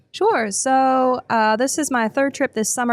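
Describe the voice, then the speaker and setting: A woman speaks with an American accent. The recording is very clean, dry and close, with no echo and a silent background. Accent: West Virginia accent, noticed by others. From West Virginia. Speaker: defense industry business development director, veteran. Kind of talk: podcast interview. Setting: live at a conference.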